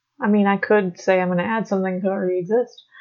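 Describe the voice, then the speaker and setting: A soft-spoken woman at a fairly quick pace. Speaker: podcast co-host. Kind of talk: casual chat.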